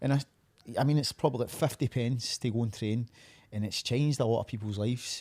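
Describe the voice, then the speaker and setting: A man talks at a very fast pace with fairly even intonation and a dark, mellow tone. The sound is dry and close, with no echo. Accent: Glaswegian. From Scotland, Glasgow area (Uddingston, East End). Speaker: professional MMA fighter. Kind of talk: casual interview chat.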